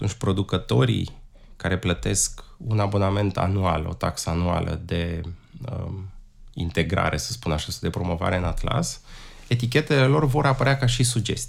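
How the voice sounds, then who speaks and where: Somewhat breathy, a man speaks at a moderate pace in a fairly low pitch with very wide pitch swings. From Romania, Prahova county. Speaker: wine atlas creator, carpenter, former tour guide. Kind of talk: interview.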